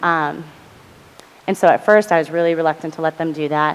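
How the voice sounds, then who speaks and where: A woman speaks at a fairly low pitch. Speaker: panelist on college mental health. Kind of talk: panel presentation. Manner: fast.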